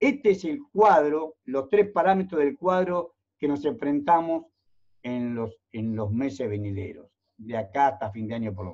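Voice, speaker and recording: A man talks at a fairly slow pace in a fairly high pitch. His delivery has very wide pitch swings and big swings in loudness. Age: 60s. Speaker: economist and university lecturer. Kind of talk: virtual talk on economics. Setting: video call.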